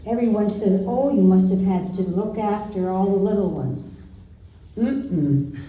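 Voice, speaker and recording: A woman talks at a medium pitch and a fairly slow pace, with ordinary pitch variation. The room echo is audible, and there is noticeable background noise. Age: 90s. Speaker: local resident sharing memories. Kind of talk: oral history storytelling. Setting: community event with audience.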